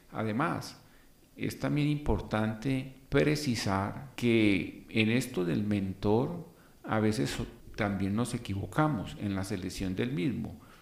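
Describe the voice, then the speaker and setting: There is audible room echo as a man talks at a very slow pace. His fairly low voice carries lively intonation. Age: 60s. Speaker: podcast host and civil engineer. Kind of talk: motivational monologue.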